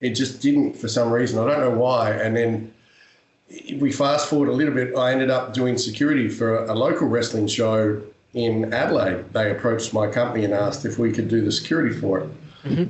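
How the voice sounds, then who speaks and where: With an Australian accent, a man talks at a fairly quick pace with ordinary pitch variation, while noticeable background noise and audible room echo fill the recording. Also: medium pitch for a man. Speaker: professional wrestler and actor. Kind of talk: interview.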